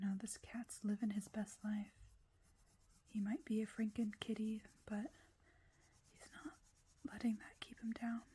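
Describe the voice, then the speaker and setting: A soft-spoken voice with a dark, mellow tone and a somewhat breathy quality moves at a fairly slow pace, broken by long, frequent pauses. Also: woman, fairly high pitch for a woman, ordinary pitch variation, big swings in loudness. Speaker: ASMR creator. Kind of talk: ASMR coloring video, casual talk to camera.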